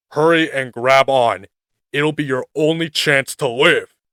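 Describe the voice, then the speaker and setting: Putting on a character voice, a man speaks fairly slowly at a fairly high pitch with fairly even intonation. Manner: heroic, urgent, yelling.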